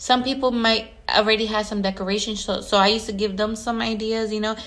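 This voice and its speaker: A woman's animated voice, fairly high in pitch. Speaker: event planner and decorator. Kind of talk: casual vlog monologue.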